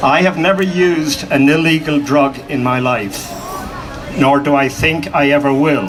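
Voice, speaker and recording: A man with an American accent speaks fairly slowly at a fairly high pitch and very even loudness, with audible room echo and noticeable background noise. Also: ordinary pitch variation. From Ireland. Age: 70s. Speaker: activist. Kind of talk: public speech.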